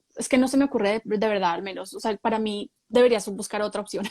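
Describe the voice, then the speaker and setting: Recorded with a dry, close sound and no echo, a woman uses a normal speaking voice with fairly even intonation. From Colombia. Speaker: human resources professional. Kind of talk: live stream interview.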